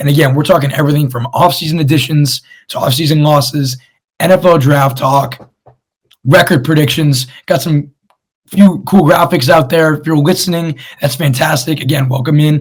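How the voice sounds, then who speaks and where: Somewhat breathy and fairly high in pitch, a man talks at a moderate pace with fairly even intonation. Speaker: sports podcast host. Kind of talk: casual sports talk show. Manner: casual, conversational.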